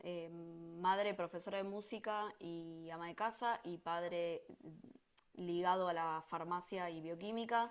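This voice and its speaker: Her loudness swings a lot as a woman speaks at a fairly slow pace, with a fairly low pitch and fairly even intonation. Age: 40s. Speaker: teacher and book lover. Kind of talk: interview. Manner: hesitant, many fillers.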